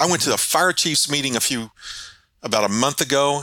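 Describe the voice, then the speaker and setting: Bright and sharp in tone, a man talks at a moderate pace with an Ozark accent. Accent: Ozark Southern US. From Arkansas Ozarks. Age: 50s. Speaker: local political candidate. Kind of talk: interview. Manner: halting, frequent repetitions.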